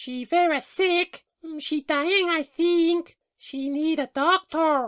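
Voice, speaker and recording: A woman's put-on, squeaky character voice at an extremely high pitch, very slow in pace, with a dry, close sound with no echo and a very clean recording with a silent background. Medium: audio drama. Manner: blunt, broken English.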